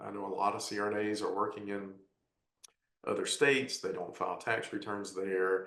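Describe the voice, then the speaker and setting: There is audible room echo as a man speaks at a moderate pace in a fairly low pitch. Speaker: tax advisor panelist. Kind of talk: webinar presentation.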